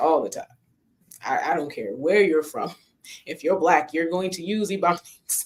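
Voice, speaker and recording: With an American accent, the speaker moves at a moderate pace and leaves long, frequent pauses. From New York family, not Southern. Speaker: indie comics writer and editor. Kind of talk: casual chat.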